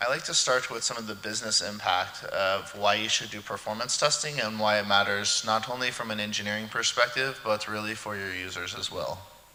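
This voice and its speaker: A man's fairly low voice at a fairly quick pace with hardly any pauses, plus audible room echo and noticeable background noise. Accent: American. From California, US. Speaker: conference speaker. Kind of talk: technical conference talk. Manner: fast.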